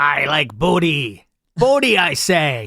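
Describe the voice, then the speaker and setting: A man does a put-on character voice, fairly high in pitch and at a fairly slow pace. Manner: playful, exaggerated pirate voice.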